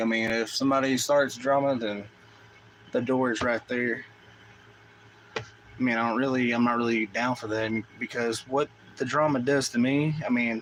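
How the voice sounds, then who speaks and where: A man with an American accent speaks at a medium pitch with fairly even intonation, taking long, frequent pauses over noticeable background noise. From US South. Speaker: gaming streamer. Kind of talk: casual chat. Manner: loud; fast.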